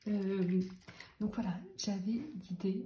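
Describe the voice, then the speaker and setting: This woman is soft-spoken and somewhat breathy, with a dark, mellow tone. Her medium-pitched voice keeps fairly even intonation. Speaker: vlogger. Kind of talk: casual vlog. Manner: hesitant, many fillers.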